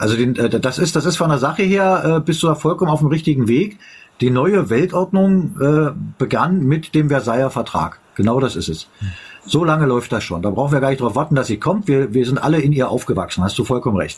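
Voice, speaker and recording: A man talks at a fairly quick pace with a fairly high pitch. His voice is somewhat breathy, with lively intonation. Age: 50s. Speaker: live stream host. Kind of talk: casual chat. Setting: live stream.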